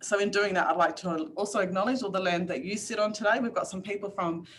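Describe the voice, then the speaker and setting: This woman talks fairly quickly, her pitch varying in an ordinary way. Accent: Australian. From Northern Territory, Australia. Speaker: workshop facilitator. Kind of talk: online workshop presentation. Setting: video call. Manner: fast.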